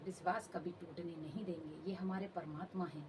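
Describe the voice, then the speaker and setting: The intonation stays fairly even throughout. Noticeable background noise sits underneath. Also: woman. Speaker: devotional channel host. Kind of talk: devotional address to followers.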